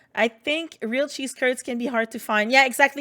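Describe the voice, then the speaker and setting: A woman with a French Canadian accent, on a very clean recording with a silent background. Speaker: video game streamer. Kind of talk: casual chat. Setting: livestream.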